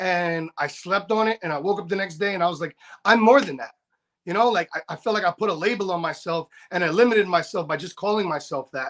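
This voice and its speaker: Loud and animated, a man races along at a very fast pace in a high voice with ordinary pitch variation, the sound dry and close with no echo. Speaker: barber and motivational speaker. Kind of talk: casual chat. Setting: live stream interview.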